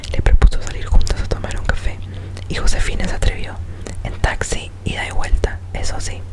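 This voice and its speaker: Whispered words from a woman amid noticeable background noise. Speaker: ASMR creator. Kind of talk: short story reading.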